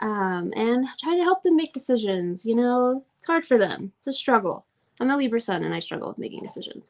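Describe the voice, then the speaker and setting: A woman with a slight Southern US accent speaks at high pitch. Her pitch swings very widely. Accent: slight Southern drawl. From Oklahoma, US. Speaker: astrology teacher. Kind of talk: live class. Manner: casual, chatty.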